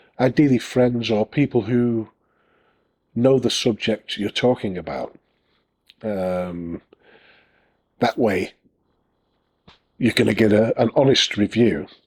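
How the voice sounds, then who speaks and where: Recorded with a dry, close sound and no echo, a man with a Northern English accent talks at a medium pitch with ordinary pitch variation. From northern England. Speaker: self-publishing author and YouTuber. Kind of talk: casual tutorial talk to camera. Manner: hesitant, many fillers.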